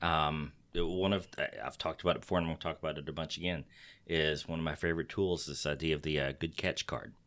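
A man with a Texas accent speaks at a very fast pace in a very deep, low pitch with an animated tone. The recording is very clean, with a silent background. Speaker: podcast host. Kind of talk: casual podcast chat. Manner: animated, joking.

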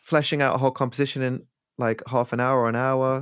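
The speaker, with an East Midlands accent, moves at a fairly quick pace in a very clean recording with a silent background. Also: man. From England, Leicester. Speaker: electronic musician. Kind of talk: casual chat.

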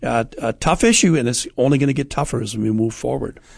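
The background is quiet as a man speaks with vocal fry. His pitch is medium, with ordinary pitch variation. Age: 60s. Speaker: radio host.

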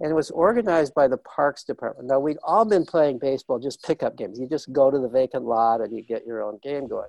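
A man talks at a very fast pace in a fairly high pitch with lively intonation. The sound is dry and close, with no echo. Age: 70s. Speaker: author and researcher on children's learning. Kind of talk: interview.

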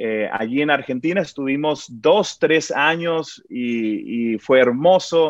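Here a man speaks at a fairly high pitch. His pitch varies in an ordinary way. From Mexico (Sinaloa, then Guadalajara). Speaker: worship pastor. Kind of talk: interview. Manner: halting, many repetitions.

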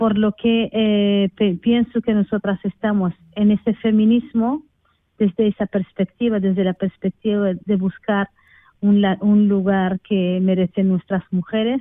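A woman speaks fairly slowly in a flat monotone, her loudness very even throughout. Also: medium pitch for a woman. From Western Sahara. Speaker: researcher on peace and gender. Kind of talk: interview.

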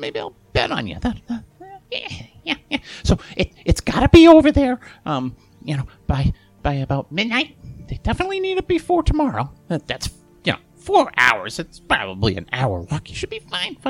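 The speaker uses a put-on character voice. Music plays in the background, and the sound is dry and close with no echo. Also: man, high pitch for a man, moderate pace. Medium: actual play. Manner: chummy, breezy, evasive; talkative, rambling.

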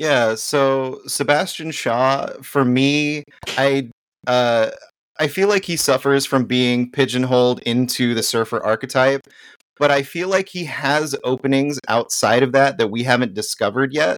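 A man speaks in a plain, everyday voice at a fairly slow pace. His medium pitch shows ordinary variation. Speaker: guest panelist. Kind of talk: casual chat.

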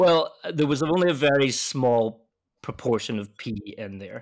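With a Scottish accent, a man at a fairly high pitch talks at a moderate pace with lively intonation and big swings in loudness, in a very clean recording with a silent background. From west coast of Scotland. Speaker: malt company technical sales manager. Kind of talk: casual interview.

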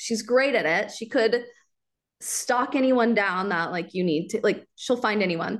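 A woman speaks at a moderate pace with an American accent. Hers is a plain, everyday voice with a fairly high pitch. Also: quiet background. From US Midwest, Kansas City area. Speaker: local content creator. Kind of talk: casual interview chat.

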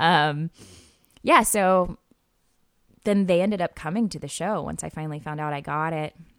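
With an American accent, a woman speaks at a moderate pace and a fairly low pitch, with ordinary pitch variation. Long, frequent pauses and big swings in loudness mark her speech in a very clean recording with a silent background. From US Midwest, Missouri Ozarks. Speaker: musical theatre actress and singer. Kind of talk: casual interview.

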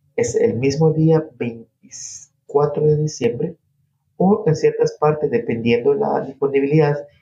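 A man's fairly high, somewhat breathy voice carries a dark, mellow tone and lively intonation. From coastal Ecuador (Guayas province). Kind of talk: interview.

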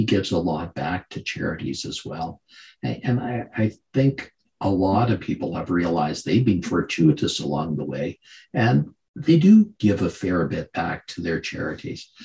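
A man's very deep, low voice sounds somewhat breathy, with a dark, mellow tone and very wide pitch swings. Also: moderate pace. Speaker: podcast host. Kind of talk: interview.

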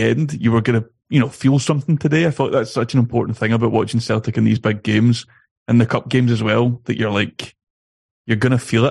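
Here is a man with an unremarkable speaking voice at a medium pitch. He goes at a fairly quick pace with fairly even intonation against a quiet background. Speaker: football podcaster. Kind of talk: casual chat.

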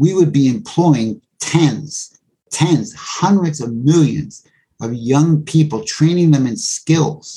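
The man's voice is dark and mellow, somewhat breathy, and fairly high in pitch. He speaks with an American accent and lively intonation. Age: 70s. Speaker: Africa researcher and lecturer. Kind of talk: interview.

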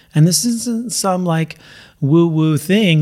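A man speaks at a fairly slow pace in a plain, everyday voice, with ordinary pitch variation. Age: 50s. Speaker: weight loss coach for runners. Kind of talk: podcast monologue. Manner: casual, conversational with fillers.

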